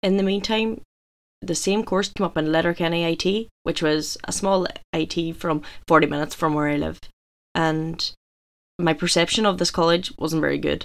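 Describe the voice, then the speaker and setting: A woman with a Donegal accent, fairly low pitch, fairly even intonation, and long, frequent pauses. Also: moderate pace, very clean recording, silent background. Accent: Donegal Irish. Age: 20s. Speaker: gym owner and fitness coach. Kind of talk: scripted monologue.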